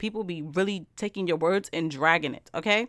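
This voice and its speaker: A woman's fairly low voice with a bright, sharp tone, ordinary pitch variation and a very fast pace, in a very clean recording with a silent background and a dry, close sound with no echo. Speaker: podcast host. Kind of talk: solo monologue podcast episode, casual dating advice. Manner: animated, conversational, chatty.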